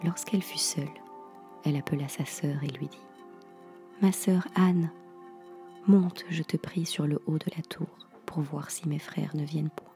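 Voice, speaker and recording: Speech moves at a fairly slow pace. Music plays in the background. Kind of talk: sleep story reading, fairy tale read aloud. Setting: home studio, close microphone. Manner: dramatic storytelling, reading with character dialogue.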